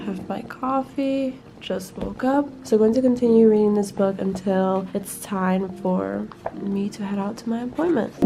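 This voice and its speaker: Amid noticeable background noise and audible room echo, a woman with a medium pitch speaks at a moderate pace with ordinary pitch variation. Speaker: book vlogger. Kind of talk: casual vlog.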